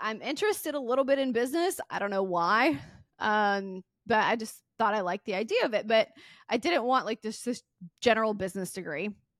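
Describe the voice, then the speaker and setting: A woman speaks in a Southern US accent with a fairly high pitch. Her intonation is lively on a very clean recording with a silent background. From US South, Mississippi. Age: 30s. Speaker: podcast host and entrepreneur. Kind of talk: casual interview chat.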